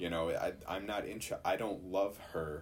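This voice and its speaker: His voice comes across somewhat breathy. The speaker is a man. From Chicago. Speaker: Bible college student. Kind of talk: casual chat.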